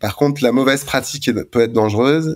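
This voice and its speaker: In a very clean recording with a silent background, a man is talking. His pitch varies in an ordinary way. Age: 40s. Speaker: anesthesiologist and ultra-trail runner. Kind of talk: interview. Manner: hesitant, many fillers.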